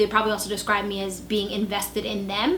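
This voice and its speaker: Speaking at a very fast pace with an American accent, the voice comes through audible room echo and noticeable background noise. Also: woman. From New York City. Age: 20s. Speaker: marketing professional. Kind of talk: casting video interview.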